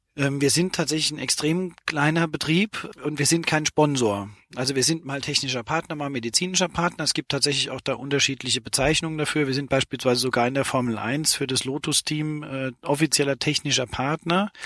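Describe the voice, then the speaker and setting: At a fairly quick pace, a man with an unremarkable speaking voice talks at a fairly high pitch with ordinary pitch variation, in a dry, close sound with no echo. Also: hardly any pauses. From Saarland, Germany. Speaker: sportswear company founder and managing director. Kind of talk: interview. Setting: in a parked car at a sports expo.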